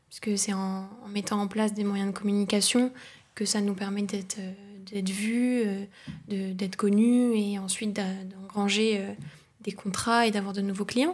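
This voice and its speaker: The intonation is monotone and flat. Delivery comes at a fairly slow pace. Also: woman, medium pitch for a woman. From northeastern France, near Luxembourg border. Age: 20s. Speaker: communications agency co-founder. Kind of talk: casual interview.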